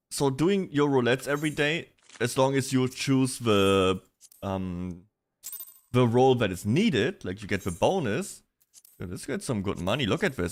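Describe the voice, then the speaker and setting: With a slight German accent, the speaker keeps a moderate pace while the pitch swings very widely. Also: man. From Germany. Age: 20s. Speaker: vtuber streamer. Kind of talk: casual livestream chat. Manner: casual, animated.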